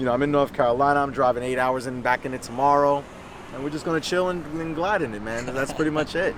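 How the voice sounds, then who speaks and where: Over noticeable background noise, the speaker goes at a very fast pace with ordinary pitch variation. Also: man, fairly high pitch for a man. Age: 30s. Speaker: car enthusiast youtuber. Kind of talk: casual chat. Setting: in a car. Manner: animated.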